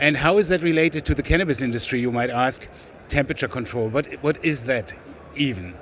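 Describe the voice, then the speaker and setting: Very fast, lively speech from a man with a German accent and medium pitch. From Germany, West Berlin. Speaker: sales executive, biochemist. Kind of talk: trade show interview. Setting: trade show floor.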